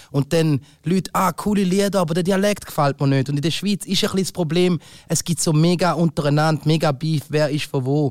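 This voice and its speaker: A man's fairly high voice at a fairly quick pace, with ordinary pitch variation, very even loudness, and a dry, close sound with no echo. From Thurgau, eastern Switzerland. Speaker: podcast host. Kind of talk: casual chat. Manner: animated.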